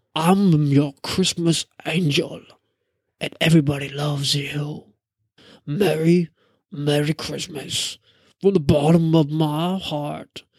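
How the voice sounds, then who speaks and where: A put-on character voice at a middle pitch moves at a fairly slow pace, broken by long, frequent pauses. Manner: warm, sweetly seductive.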